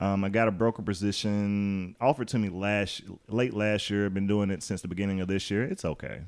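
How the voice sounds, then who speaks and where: Fairly quick and fairly even in intonation, a man speaks with an Alabama accent. His pitch sits fairly low. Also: hardly any pauses. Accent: Southern US (Alabama). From US South, Birmingham, Alabama. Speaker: realtor. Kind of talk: casual chat.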